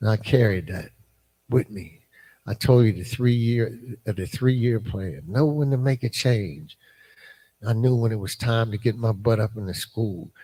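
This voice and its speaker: A man speaks at a moderate pace and medium pitch, his somewhat breathy voice having a dark, mellow tone. His pitch varies in an ordinary way while his loudness swings widely. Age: 70s. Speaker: former prisoner and recovery mentor. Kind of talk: testimony. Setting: live podcast at a church conference. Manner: halting, many fillers.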